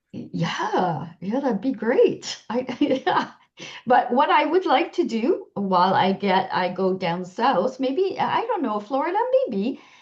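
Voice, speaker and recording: A woman with a Quebec accent, high-pitched and very slow, her pitch swinging very widely. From Quebec, Canada. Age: 60s. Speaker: health-sharing business seller. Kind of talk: interview.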